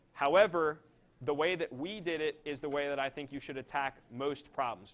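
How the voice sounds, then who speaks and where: Fairly even intonation from a man in a normal speaking voice. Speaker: physics lecturer. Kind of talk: lecture.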